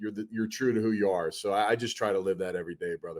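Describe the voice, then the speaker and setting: On a very clean recording with a silent background, a man speaks with a Philadelphia accent. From Delaware County, Pennsylvania (Philadelphia area). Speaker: football coach and former NFL player. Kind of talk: casual interview.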